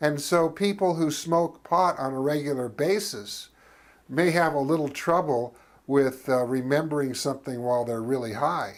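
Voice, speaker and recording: A normal speaking voice from a man, fairly high in pitch, with ordinary pitch variation and a moderate pace. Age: 60s. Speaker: talk show host and cannabis advocate. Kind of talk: scripted monologue to camera.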